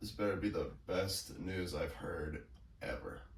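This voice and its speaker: Slowing to a fairly slow pace, a man uses a raspy, put-on character voice, with slight echo and light background noise. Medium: short film. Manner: casual, wry.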